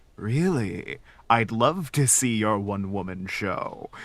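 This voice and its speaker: A man's put-on character voice at medium pitch, fairly slow in pace, with lively intonation. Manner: ominous, creepy, falsely sweet.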